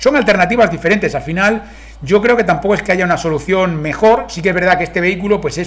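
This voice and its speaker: This man speaks in a Spanish accent with a high pitch and ordinary pitch variation. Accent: Spain Spanish. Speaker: car reviewer. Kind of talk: video review. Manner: fast.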